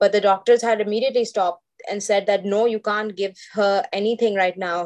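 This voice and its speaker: An unremarkable speaking voice from a woman, fairly high-pitched and fairly quick in pace. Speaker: illustrator and diabetes advocate. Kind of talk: personal interview testimony.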